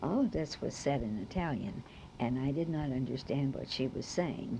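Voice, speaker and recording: Speaking at a fairly slow pace with an American accent, a woman has a very deep, low pitch, a dark, mellow tone and vocal fry. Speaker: oral history narrator. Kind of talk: oral history recollection.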